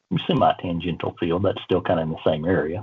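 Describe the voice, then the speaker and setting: The speaker is a man. His voice sits very deep and low. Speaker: civil engineering professor. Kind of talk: casual interview. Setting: video call.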